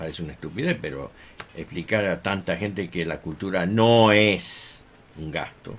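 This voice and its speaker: Noticeable background noise around a very deep, low male voice, moderate in pace and ordinary in pitch variation. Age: 60s. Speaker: violinist and music teacher. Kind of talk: radio interview. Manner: hesitant, many fillers.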